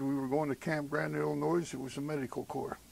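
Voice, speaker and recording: At a fairly quick pace, a man with a Western Pennsylvania accent speaks in a fairly high voice. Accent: Western Pennsylvania American English. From southwestern Pennsylvania, USA. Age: 70s. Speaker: WWII army medic veteran. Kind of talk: oral history interview answer.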